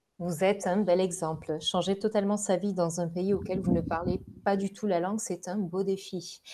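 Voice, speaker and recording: A woman talks at a moderate pace in a medium pitch, her intonation monotone and flat. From southern France, Gard. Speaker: recruitment consultant, podcast host. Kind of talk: scripted presentation. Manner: formal.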